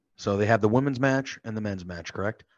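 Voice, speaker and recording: This man talks with a Northeastern American accent and ordinary pitch variation. The background is quiet. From US Northeast. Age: 30s. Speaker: podcast co-host. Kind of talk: casual chat. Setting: video call.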